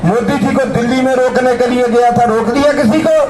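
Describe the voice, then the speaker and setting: The room echo is audible. There is noticeable background noise as well. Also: man. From Punjab, India. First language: Punjabi (speaking Hindi). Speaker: protest speaker. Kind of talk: protest speech. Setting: outdoor protest rally. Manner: impassioned.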